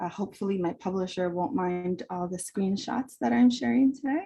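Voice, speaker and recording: Woman's somewhat breathy voice, dark and mellow in tone, at a moderate pace. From immigrant to the US, arrived 1990 as a child. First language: Spanish. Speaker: professor and author. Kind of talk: book talk presentation.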